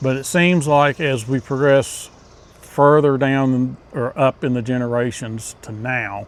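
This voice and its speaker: With an ordinary speaking voice, a man talks at a fairly slow pace, his medium pitch carried by fairly even intonation. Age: 60s. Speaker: hunting channel host. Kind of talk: casual talk to camera. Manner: conversational with fillers.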